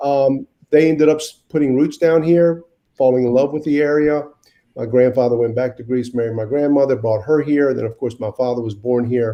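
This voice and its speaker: With an American accent, a man speaks at a fairly quick pace in a medium pitch and fairly even intonation. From US South (Wilmington, North Carolina). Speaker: mayor. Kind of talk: interview. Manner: halting, with many repeated words.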